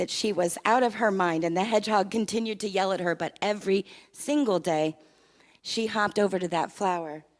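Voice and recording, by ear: The pitch varies in an ordinary way as the text is read aloud in a natural voice.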